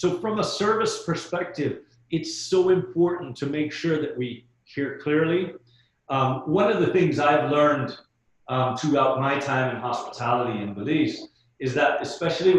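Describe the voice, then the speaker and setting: Heard with audible room echo, a man with a fairly high pitch speaks at a fairly slow pace, somewhat breathy and with ordinary pitch variation. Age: middle-aged. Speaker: hospitality trainer. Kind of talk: webinar training. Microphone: muffled by face mask.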